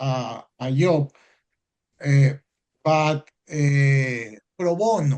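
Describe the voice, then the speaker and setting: Speaking with a Spanish accent, a man at a fairly high pitch goes at a very slow pace with ordinary pitch variation and long, frequent pauses. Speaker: foreign law graduate. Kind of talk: audience Q&A in webinar. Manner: halting.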